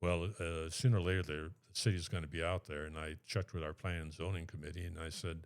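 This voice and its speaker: Very fast and with fairly even intonation, a man with an American accent talks in a very deep, low voice on a very clean recording over a silent background. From south central Minnesota. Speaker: city councilman. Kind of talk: podcast interview. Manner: hesitant, with fillers.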